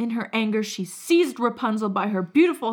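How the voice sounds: Lively intonation in a natural reading voice.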